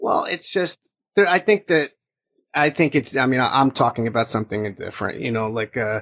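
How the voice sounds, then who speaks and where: Lively in intonation and fairly quick, a man with an American accent speaks at a medium pitch in a plain, everyday voice. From New Jersey. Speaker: podcast host, wrestling journalist. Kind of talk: casual sports discussion.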